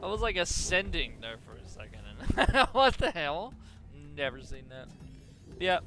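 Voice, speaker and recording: Music plays behind a high-pitched man whose pitch swings very widely and whose loudness rises and falls a lot. He leaves long, frequent pauses. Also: moderate pace. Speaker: gaming youtuber. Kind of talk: let's play commentary. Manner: halting, stumbles over words.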